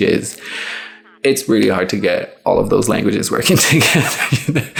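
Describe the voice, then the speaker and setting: Through noticeable background noise, a man speaks in an animated tone at a fairly slow pace. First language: Portuguese. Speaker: YouTuber. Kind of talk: casual monologue vlog. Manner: animated, hesitant with fillers.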